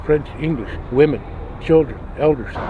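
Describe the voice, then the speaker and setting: A fairly high-pitched man with an American accent at a moderate pace, with noticeable background noise. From Arizona, Gila River reservation (Pima). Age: 70s. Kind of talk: interview.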